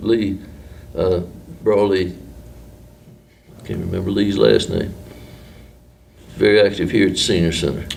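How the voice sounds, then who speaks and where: A man with an Appalachian accent talks at a moderate pace and fairly low pitch, with ordinary pitch variation and long, frequent pauses. Noticeable background noise and audible room echo are in the recording. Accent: Appalachian Southern US. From western North Carolina, Marion. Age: 70s. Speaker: retired newspaperman. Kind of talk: oral history interview. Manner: casual, hesitant with fillers.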